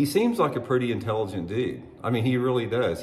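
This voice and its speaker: Somewhat breathy male speech at a moderate pace, with audible room echo. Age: 60s. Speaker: former pro bass angler and fishing YouTuber. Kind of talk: opinion monologue to camera. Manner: halting, with many fillers and restarts.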